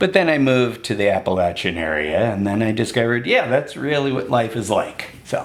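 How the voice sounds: The recording presents a natural reading voice.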